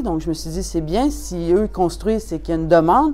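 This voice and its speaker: Fairly quick speech from a woman with a Quebec accent, fairly low in pitch, with ordinary pitch variation. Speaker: customer giving a testimonial. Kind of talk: testimonial.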